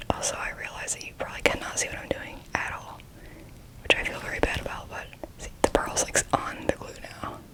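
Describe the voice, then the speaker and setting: A woman whispers at a fairly quick pace, her loudness swinging widely. Noticeable background noise runs underneath. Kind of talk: casual talk to camera, ASMR whisper ramble. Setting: close-mic, home recording at night. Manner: whispered, close to the microphone.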